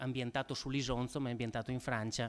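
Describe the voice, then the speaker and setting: This man talks at a very fast pace. He has a northern Italian accent. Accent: Po Valley northern Italian. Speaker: event moderator introducing a historian. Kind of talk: lecture introduction. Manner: halting, frequent repetitions and fillers.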